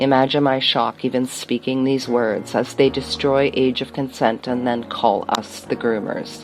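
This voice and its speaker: A woman speaks with a very deep, low pitch. There is noticeable background noise. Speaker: poet. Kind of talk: spoken word poetry. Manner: fast.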